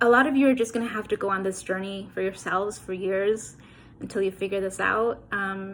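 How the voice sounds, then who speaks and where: The speaker has a normal speaking voice with an American accent. Delivery is fairly quick, with fairly even intonation. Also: woman, medium pitch for a woman. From New York City (Queens/Brooklyn). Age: 30s. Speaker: author. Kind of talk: motivational address. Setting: recorded video message.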